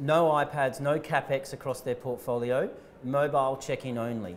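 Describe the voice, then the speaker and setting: With an Australian accent, a man speaks at a medium pitch with fairly even intonation. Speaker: tech company founder and CEO. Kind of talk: interview.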